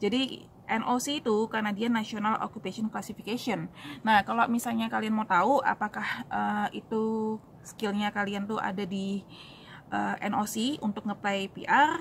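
A somewhat breathy woman's voice with fairly even intonation over light background noise. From Indonesia, raised in Surabaya; Indonesia. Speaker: YouTuber answering immigration questions. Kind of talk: casual Q&A vlog. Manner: casual with many fillers. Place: street. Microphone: phone near.

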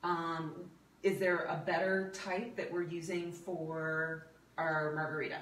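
The speech moves at a fairly slow pace. Room echo is audible. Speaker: video host and health coach. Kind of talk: casual cooking demo chat. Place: home room. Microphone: camera far.

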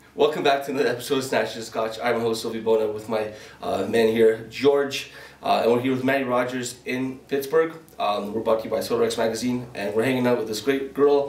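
A man's fairly quick speech with fairly even intonation and audible room echo. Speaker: podcast host. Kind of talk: casual podcast intro and interview question. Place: studio.

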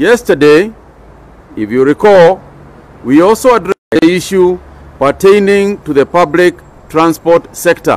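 Speaking at a fairly slow pace with long, frequent pauses, a man uses a high pitch with ordinary variation. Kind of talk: official press statement. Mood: firm, serious. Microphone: podium.

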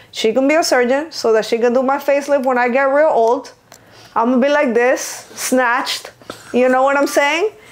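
There is noticeable background noise behind this woman. She speaks at a high pitch and a moderate pace, with very even loudness. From Venezuela. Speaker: lash artist and business owner. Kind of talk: casual chat. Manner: animated.

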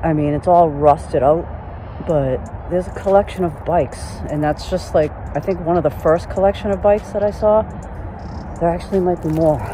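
The speech moves at a moderate pace. The sound is dry with no echo, though noticeable background noise is present. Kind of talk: casual vlog commentary. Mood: amazed, curious. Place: forest. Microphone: phone near.

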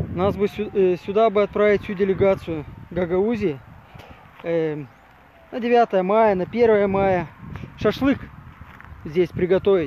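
A man with a high pitch speaks at a very slow pace, with ordinary pitch variation, long, frequent pauses, and noticeable background noise. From Gagauzia, Moldova (Comrat). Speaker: video blogger, former city hall worker. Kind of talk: vlog walk-and-talk commentary. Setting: outdoors by a river. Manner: hesitant, many fillers.

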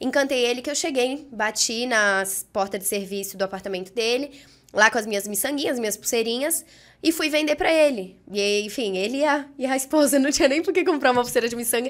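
Over a quiet background, a woman speaks at a fairly quick pace. Her voice is high with lively intonation. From Brazil, Brasília and São Paulo. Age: 20s. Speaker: entrepreneur; podcast guest. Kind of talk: podcast interview. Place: studio. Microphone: studio mic.

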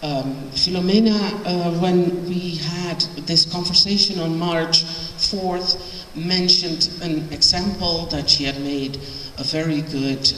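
Audible room echo and light background noise surround a woman's fairly low voice. Her pitch varies in an ordinary way. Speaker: lecturer, professor. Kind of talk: lecture. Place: hall. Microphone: handheld.

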